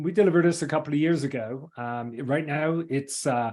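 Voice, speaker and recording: A man with an English accent, fairly high-pitched for a man, with ordinary pitch variation and a moderate pace. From England. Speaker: engineering firm CEO. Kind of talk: webinar presentation. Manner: halting.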